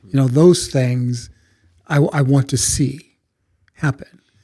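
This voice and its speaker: Somewhat breathy and dark, mellow in tone, this voice moves at a very slow pace with fairly even intonation. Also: man. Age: 60s. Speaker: college president. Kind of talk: podcast interview. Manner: halting, repeats words.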